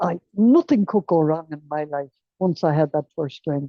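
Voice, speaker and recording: A woman speaks with an Irish accent at a fairly low pitch. Her intonation is lively and her pace moderate. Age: 80s+. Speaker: recovering alcoholic sharing her story. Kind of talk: testimony.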